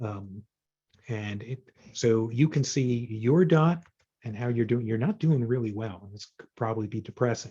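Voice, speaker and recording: A man speaks at a moderate pace in a medium pitch, his dark, mellow tone somewhat breathy, with ordinary pitch variation. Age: 60s. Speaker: data visualization consultant and author. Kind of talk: presentation to user group. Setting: video call. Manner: hesitant, many fillers.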